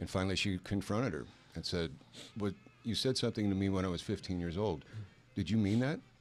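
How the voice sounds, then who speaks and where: A man speaks at a very fast pace in a fairly low voice, with ordinary pitch variation. He leaves long, frequent pauses, and music plays in the background. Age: 60s. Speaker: male stripper troupe member. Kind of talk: casual chat. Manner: halting.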